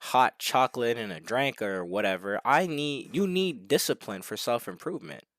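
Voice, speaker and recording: This man talks at a moderate pace and a medium pitch, with very wide pitch swings. The recording is very clean with a silent background, and the sound is dry and close with no echo. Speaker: self-improvement vlogger. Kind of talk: casual monologue vlog. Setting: alone at home. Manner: unscripted, stumbling. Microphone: new headset mic.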